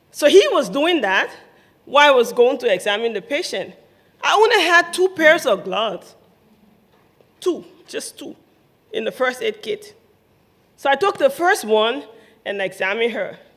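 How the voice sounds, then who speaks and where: A woman with a Liberian accent and a high pitch, very wide pitch swings, big swings in loudness, a moderate pace and long, frequent pauses. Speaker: nurse, humanitarian aid worker. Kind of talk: live storytelling event.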